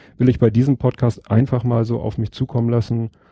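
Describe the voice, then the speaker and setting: Dry and close with no echo, a man's dark, mellow, somewhat breathy voice at medium pitch moves at a fairly quick pace. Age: 40s. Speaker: podcaster. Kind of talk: casual chat.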